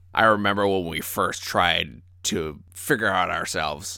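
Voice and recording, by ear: Doing a put-on character voice, a man speaks at a very deep, low pitch. He keeps a moderate pace.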